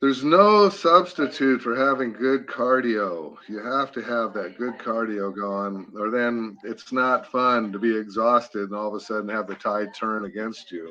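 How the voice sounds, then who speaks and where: A man with a plain, everyday voice at medium pitch talks at a fairly slow pace with ordinary pitch variation and hardly any pauses. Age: 60s. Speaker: veteran medieval combat fighter. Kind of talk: casual chat.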